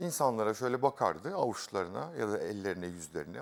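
The speech moves at a fairly quick pace, its pitch swinging very widely. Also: man. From Aegean Turkey, İzmir. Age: 40s. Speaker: contestant, artist. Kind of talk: casual chat, game show. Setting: studio.

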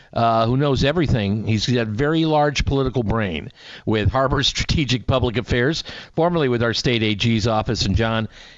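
Fairly quick and very even in loudness, a man speaks with ordinary pitch variation. The sound is dry with no echo, over a quiet background. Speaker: radio morning show host. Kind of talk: radio host chat. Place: studio.

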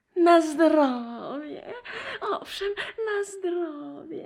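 In a put-on character voice, a female-sounding speaker talks at an extremely high pitch and a very slow pace. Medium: audio drama. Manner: meek, monotonous.

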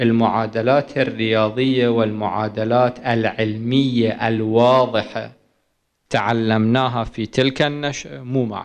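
A man talks at a very slow pace. His intonation is fairly even. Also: quiet background. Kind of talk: lecture. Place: hall. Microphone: podium.

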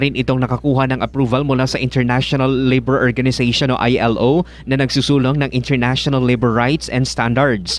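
A man talks at a very fast pace in a monotone, flat intonation, with a medium pitch. Noticeable background noise runs underneath. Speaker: radio news reporter. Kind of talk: formal newsreading. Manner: formal; steady, brisk broadcast delivery.

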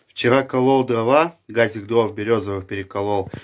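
A man speaks at a moderate pace and medium pitch with ordinary pitch variation. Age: 20s. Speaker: vlogger, father of five, odd-job worker; vlogger. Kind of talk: casual vlog to camera. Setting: outdoors, walking to shop. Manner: casual, colloquial. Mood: cheerful.

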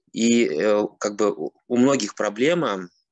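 A man with ordinary pitch variation, recorded against a quiet background in a dry sound with no echo. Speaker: online course mentor. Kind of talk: testimony. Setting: video call. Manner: halting. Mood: pleased, relaxed. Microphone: video call.

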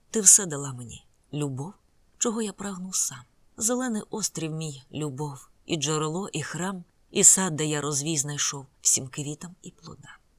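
A woman's solemn, dramatic tone at a very deep, low pitch, with lively intonation, big swings in loudness and a fairly slow pace. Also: very clean recording, silent background. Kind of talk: audiobook narration. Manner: solemn, dramatic, slow measured reading with gloomy gothic intensity.

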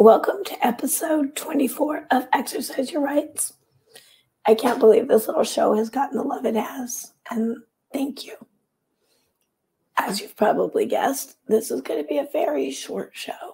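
At a moderate pace, a woman speaks with a high pitch and a dark, mellow tone, her pitch swinging very widely and her loudness rising and falling sharply. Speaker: author and video show host. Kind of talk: casual vlog monologue.

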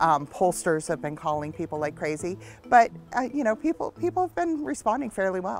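Faint music plays behind a woman who talks at a fairly quick pace in a fairly low pitch, the sound dry with no echo. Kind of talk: interview answer. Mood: upbeat, animated. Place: street.

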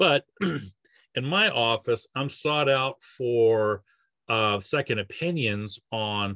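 A man is speaking. His voice is fairly low in pitch with a fairly bright tone.

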